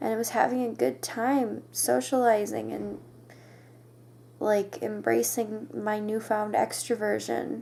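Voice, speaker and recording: A woman speaks quietly at a fairly slow pace. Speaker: vlogger. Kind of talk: personal confessional vlog. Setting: bedroom at night. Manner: halting.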